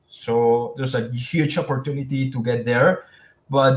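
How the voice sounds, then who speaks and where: A man talks at a fairly slow pace and a fairly high pitch. His voice is somewhat breathy. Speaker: sales presenter. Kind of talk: webinar presentation.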